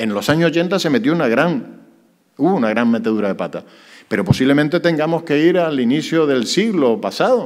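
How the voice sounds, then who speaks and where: A man's fairly high voice at a fairly quick pace, with very wide pitch swings. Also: quiet background. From Canary Islands. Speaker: mayor. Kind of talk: press conference. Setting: press conference with journalists. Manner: hesitant, many fillers. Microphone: podium.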